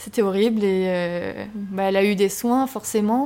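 A woman's dark, mellow voice at medium pitch and fairly slow pace, with fairly even intonation, in a very clean recording with a silent background. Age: 20s. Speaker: film director. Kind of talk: interview. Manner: hesitant.

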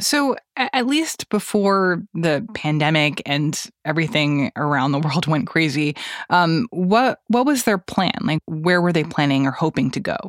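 In a plain, everyday voice, a woman with fairly low pitch and lively intonation is heard in a dry, close recording with no echo, very clean with a silent background. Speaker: podcast host. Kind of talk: news podcast.

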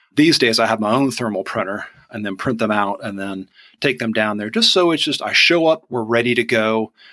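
A man's bright, sharp voice at medium pitch, in a Southern US accent. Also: ordinary pitch variation, fairly quick pace, very clean recording, silent background. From Georgia, US South. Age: 40s. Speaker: onion e-commerce business owner. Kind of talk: casual interview chat.

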